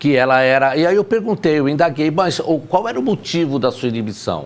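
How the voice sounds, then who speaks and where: A man speaks with very wide swings in pitch. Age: 60s. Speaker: teacher. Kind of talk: casual chat.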